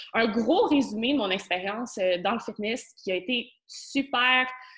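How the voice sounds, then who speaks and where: Fairly high in pitch with ordinary pitch variation, a woman speaks with a Quebec accent. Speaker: spirituality coach and podcaster. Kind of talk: casual interview conversation.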